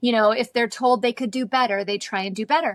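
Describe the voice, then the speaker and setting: Very fast speech comes through in a very clean recording with a silent background and a dry, close sound with no echo. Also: woman. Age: 40s. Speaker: naturopathic doctor, podcast host. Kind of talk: interview.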